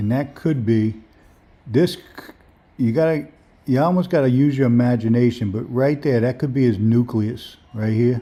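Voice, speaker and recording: Talking in a New Orleans accent, a man keeps a relaxed tone at a moderate pace. He pauses long and often, with ordinary pitch variation. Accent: New Orleans Lower Ninth Ward. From New Orleans, Lower Ninth Ward. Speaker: amateur microscopist streamer. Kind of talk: live stream commentary. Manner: relaxed, casual.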